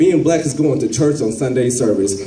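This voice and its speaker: Audible room echo and light background noise surround a man speaking at a fairly quick pace. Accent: American. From Kansas City, Missouri. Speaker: spoken word poet. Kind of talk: spoken word poetry performance. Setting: live performance at a college. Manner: humorous. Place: classroom. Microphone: handheld.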